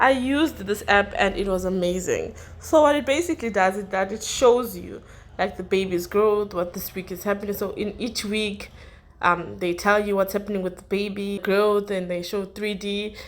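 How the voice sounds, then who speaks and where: Ordinary pitch variation and a moderate pace, with a non-native accent. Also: woman, medium pitch for a woman. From South Africa. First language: not English. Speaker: YouTuber. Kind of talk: casual vlog advice. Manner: halting, many fillers and pauses.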